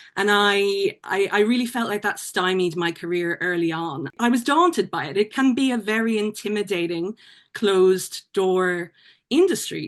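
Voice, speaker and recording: Here a woman speaks with an Irish accent and ordinary pitch variation. The background is quiet. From Ireland. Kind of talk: podcast interview. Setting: podcast.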